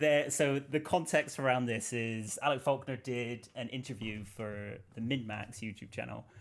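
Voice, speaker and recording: With a Bristol accent, a man at medium pitch speaks at a moderate pace with hardly any pauses and fairly even intonation. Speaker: YouTube interviewer. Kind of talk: video interview.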